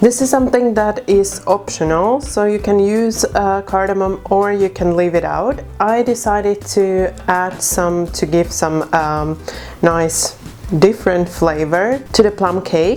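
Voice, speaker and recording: Over music in the background, a woman with a non-native accent speaks at a fairly slow pace. Her pitch is medium, with ordinary variation. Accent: non-German accent when speaking German. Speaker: cooking video host. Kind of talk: cooking tutorial. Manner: casual, with frequent fillers.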